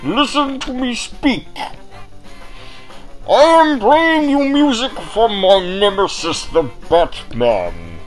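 Over clear background music, a put-on character voice moves at a fairly slow pace with very wide pitch swings.

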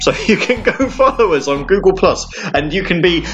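Moderate-paced speech in a British accent, with music in the background. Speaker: radio show host. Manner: relaxed, conversational, rambling with fillers (um, uh), upbeat and friendly; self-deprecating, wry humour.

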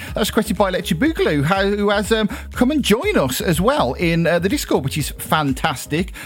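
Very wide pitch swings and an enthusiastic, warm tone in a British accent, at a fairly quick pace with hardly any pauses, over noticeable background noise. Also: man, high pitch for a man. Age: 30s. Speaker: internet radio DJ. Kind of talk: online radio DJ patter, back-announcing game-music listener requests between tracks. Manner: upbeat, chatty and rambling with frequent ums and uhs; enthusiastic, warm presenter energy.

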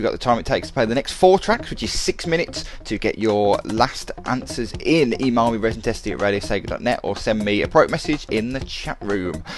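A man talks over noticeable background noise. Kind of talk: radio DJ patter: back-announcing tracks between songs, breezy and chatty. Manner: quick, casual and upbeat, with filler 'uh's and enthusiastic 'love that track' asides.

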